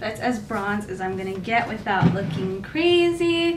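A woman at a fairly slow pace, fairly high in pitch with very wide pitch swings, over noticeable background noise. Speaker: beauty vlogger / teacher; beauty vlogger, teacher. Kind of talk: makeup tutorial. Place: home room.

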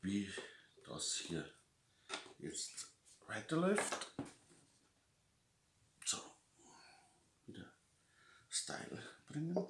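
Whispering at a very slow pace with long, frequent pauses, a man speaks in a Lower Bavarian accent. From Lower Bavaria, Germany. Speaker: motorcycle magazine publisher. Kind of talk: casual unboxing talk to camera. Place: home room. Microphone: webcam.

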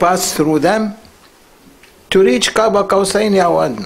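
A man talks in a high pitch. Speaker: religious teacher. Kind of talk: sermon. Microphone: studio mic.

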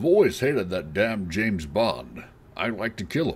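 Doing a put-on character voice, a man speaks at a moderate pace from a fairly low pitch, with very wide pitch swings and big swings in loudness. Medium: voice reel.

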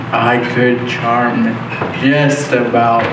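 A man speaks very slowly, his voice carrying audible room echo over noticeable background noise. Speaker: motivational speaker. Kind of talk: motivational speech. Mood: personal, humorous storytelling. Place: hall.

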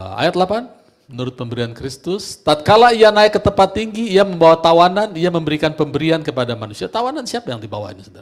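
Over a quiet background, a man talks very fast in a high pitch, with very wide pitch swings and an animated tone. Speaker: preacher. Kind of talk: sermon. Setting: church. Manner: animated, emphatic preaching, rhetorical questions to congregation. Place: church.

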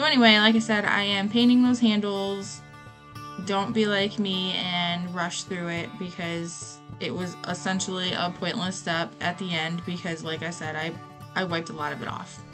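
With clear music in the background, a woman talks at a moderate pace with ordinary pitch variation. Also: fairly low pitch for a woman. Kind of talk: tutorial voiceover.

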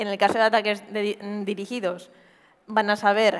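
A woman's medium-pitched voice at a very slow pace. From Spain, Murcia; Spain. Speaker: cybersecurity pentester; conference presenter. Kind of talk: conference talk. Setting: stage with audience. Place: stage. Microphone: headset.

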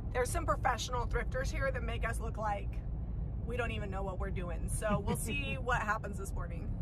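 The speech moves at a fairly quick pace over loud background noise. The sound is dry, with no echo. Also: woman. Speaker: thrift reseller vlogger. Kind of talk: casual vlog chat. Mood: cheerful, upbeat. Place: car. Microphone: phone near.

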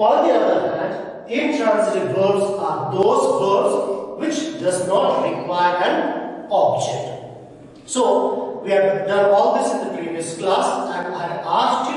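Amid strong room echo, a man with a high voice speaks at a very slow pace, his intonation lively. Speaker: school teacher. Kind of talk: lecture. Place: classroom. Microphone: camera far.

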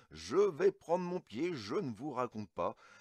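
Against a quiet background, a man's voice comes through with a dry sound and no echo. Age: 40s. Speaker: toy collector YouTuber. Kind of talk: unboxing review; casual vlog chat. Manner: hesitant, many fillers; enthusiastic. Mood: enthusiastic. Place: home room.

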